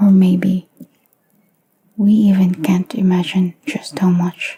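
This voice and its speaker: Soft-spoken, the speaker goes at a very slow pace. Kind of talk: soft-spoken music reaction commentary to camera. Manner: soft-spoken, quiet.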